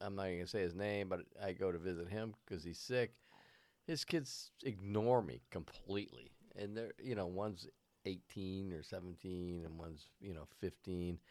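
Very deep, low male speech, moderately paced, its pitch varying in an ordinary way. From Vermont. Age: 60s. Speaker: podcast co-host. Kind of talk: casual chat.

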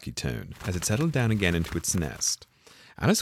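A natural reading voice. Nothing more stands out.

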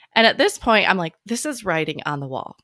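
A woman speaks with a Midwestern American accent and a bright, sharp tone. The sound is dry and close, with no echo. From US Midwest, small town in Illinois. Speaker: podcast host and physical therapist. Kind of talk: casual interview. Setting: video call.

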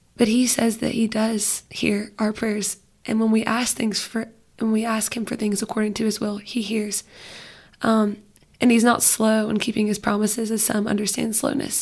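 At a moderate pace, a woman talks in a fairly high, somewhat breathy voice with monotone, flat intonation. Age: 20s. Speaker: youth small group leader. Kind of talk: casual faith conversation.

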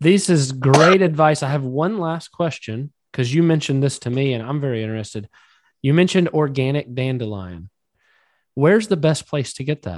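Lively intonation carries speech at a moderate pace, recorded with a dry, close sound, no echo and a quiet background. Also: man, fairly high pitch for a man. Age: 30s. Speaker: podcast host. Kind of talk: casual chat.

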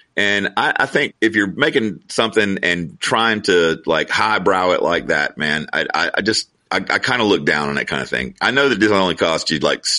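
Speaking at a moderate pace with a Southern US accent, a man uses a fairly low pitch and lively intonation. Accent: Southern US (Georgia). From US South, Georgia. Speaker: novelist. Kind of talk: casual interview chat.

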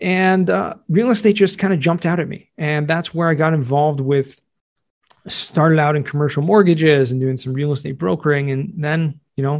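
Fairly quick delivery from a man with a Californian accent, fairly high in pitch, with ordinary pitch variation. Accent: American, Californian. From Southern California. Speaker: real estate tax expert and podcaster. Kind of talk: interview conversation.

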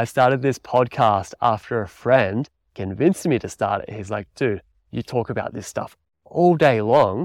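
A man at a medium pitch, recorded dry and close with no echo, on a very clean track with a silent background. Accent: Australian. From Australia, country Victoria. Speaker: podcast host and mountain bike coach. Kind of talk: solo podcast monologue.

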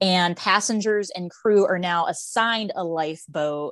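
A woman talks at a fairly slow pace in a medium pitch, with an ordinary speaking voice. The background is quiet. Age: 30s. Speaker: Titanic enthusiast. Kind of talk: casual chat.

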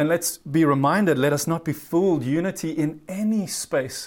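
In a very clean recording with a silent background, a man with a fairly high pitch speaks at a moderate pace with ordinary pitch variation. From South Africa. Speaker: pastor. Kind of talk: sermon. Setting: virtual church service.

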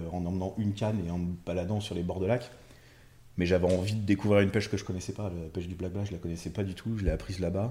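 A man races along at a very fast pace, somewhat breathy and monotone with flat intonation, on a very clean recording with a silent background. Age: 30s. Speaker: carp angler. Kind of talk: casual chat.

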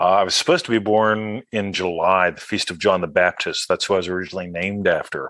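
A man with an unremarkable speaking voice talks fairly quickly at a fairly low pitch, with ordinary pitch variation and a dry, close sound with no echo. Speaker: author and law of attraction teacher. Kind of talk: interview with guided-meditation moments. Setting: video call.

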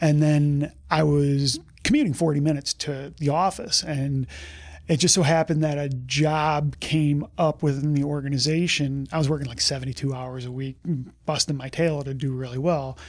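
Heard in a very clean recording with a silent background, an unremarkable speaking voice moves at a moderate pace with fairly even intonation. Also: man, fairly high pitch for a man. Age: 40s. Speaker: health insurance broker. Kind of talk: interview.

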